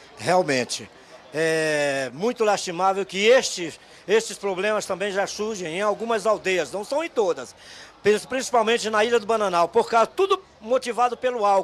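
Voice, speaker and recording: Lively intonation and a moderate pace in a man's high voice. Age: 70s. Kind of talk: street interview.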